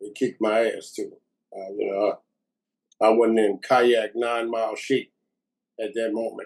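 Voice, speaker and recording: With a New Orleans accent, a man talks at a moderate pace and a medium pitch. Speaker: war veteran. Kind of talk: testimony.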